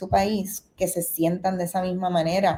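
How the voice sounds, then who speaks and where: With a Puerto Rican accent, a woman talks at a fairly low pitch in a dark, mellow tone. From Puerto Rico. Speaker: film director. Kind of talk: interview. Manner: halting, many fillers.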